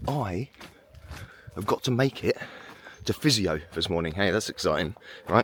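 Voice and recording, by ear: A man uses a hoarse, put-on character voice, fairly low in pitch with lively intonation, at a moderate pace. He takes long, frequent pauses in a dry, close sound with no echo.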